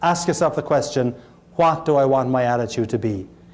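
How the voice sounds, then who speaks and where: This man talks fairly quickly, with lively intonation. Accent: Irish. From Ireland, Cork. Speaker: motivational speaker. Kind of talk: motivational keynote speech. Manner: humorous.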